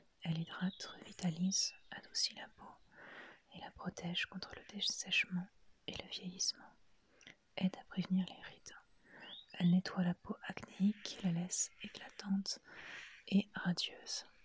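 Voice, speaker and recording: A woman's whispering at a fairly slow pace, with long, frequent pauses and big swings in loudness. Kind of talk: reading product label aloud. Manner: soft-spoken, whispered.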